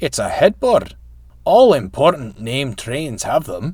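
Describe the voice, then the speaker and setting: Putting on a character voice in a Scottish accent, a man talks at a fairly slow pace with a fairly high pitch. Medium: read story. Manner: boastful.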